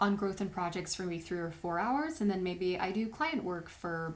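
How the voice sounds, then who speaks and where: At a moderate pace, a woman with a medium pitch talks in a normal speaking voice. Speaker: wedding photographer and tutorial maker. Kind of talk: tutorial.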